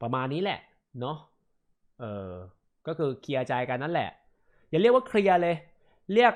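This man's fairly high voice moves through very wide pitch swings. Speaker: gaming streamer. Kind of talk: live stream statement. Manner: halting.

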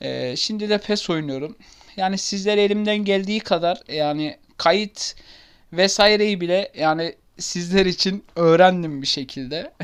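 In a very clean recording with a silent background, a man speaks at a fairly slow pace and a high pitch with ordinary pitch variation. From Turkey, Ankara. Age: 20s. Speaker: gaming YouTuber. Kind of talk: casual self-introduction to camera. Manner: hesitant, many fillers.

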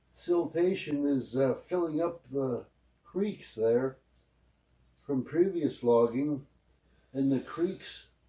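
The man talks at a very slow pace with ordinary pitch variation. The background is quiet. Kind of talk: interview answer. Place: home room. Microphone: camera far.

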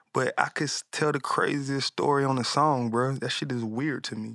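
Against a quiet background, a man talks at a moderate pace in a bright, sharp tone with a dry sound and no echo. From US South, Atlanta; US South. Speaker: music producer and artist; guest. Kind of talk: casual interview chat. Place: studio. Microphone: studio mic.

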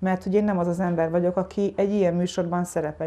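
A woman speaks in a dark, mellow tone. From Hungary, Tiszadob area; Hungary. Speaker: writer and journalist; journalist being interviewed. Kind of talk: interview. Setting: at home. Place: home room. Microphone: lapel.

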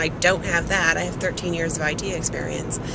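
Noticeable background noise sits behind a woman whose voice has a dry sound with no echo. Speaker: vlogger. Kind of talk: casual vlog chat. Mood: proud, warm. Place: car. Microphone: phone near.

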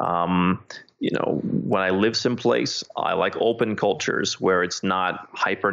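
With an American accent, a man speaks at a moderate pace in a fairly low pitch, using lively intonation and vocal fry. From United States. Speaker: author and expat consultant. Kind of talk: interview.

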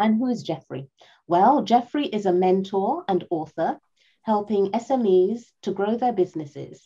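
The tone is dark and mellow, somewhat breathy, with lively intonation. The pace is fairly slow over a quiet background. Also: woman. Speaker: event moderator. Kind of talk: event moderation. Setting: video call. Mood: warm, cheerful, smiling. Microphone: video call.

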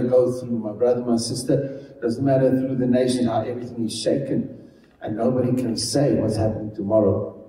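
A man talks with hardly any pauses, and audible room echo is present. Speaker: pastor. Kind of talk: sermon. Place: church.

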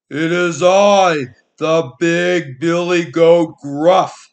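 A man talks very slowly in a high-pitched put-on character voice. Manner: bold, challenging.

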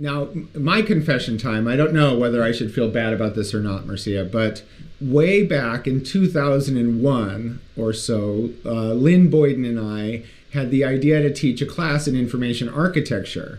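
A man with an ordinary speaking voice, medium pitch and a fairly slow pace. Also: ordinary pitch variation. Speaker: podcast co-host. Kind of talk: podcast interview.

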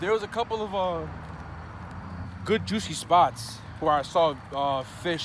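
Noticeable background noise sits behind a man speaking at a fairly slow pace in a dry sound with no echo. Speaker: vlogger fisherman. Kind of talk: casual vlog chat. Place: waterside. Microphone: phone near.

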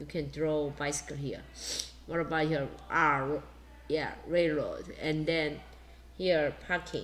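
A woman with a Korean accent. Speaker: primary school English teacher. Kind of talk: online class lesson. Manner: halting, many fillers.

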